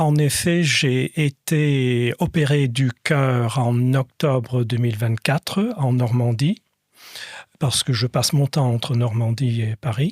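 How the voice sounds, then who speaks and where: A man with a medium pitch and a somewhat breathy voice talks at a very slow pace, with ordinary pitch variation and very even loudness. The sound is dry and close, with no echo. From Scotland and France. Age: 60s. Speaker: patient, former lawyer. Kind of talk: podcast interview. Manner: hesitant, many fillers.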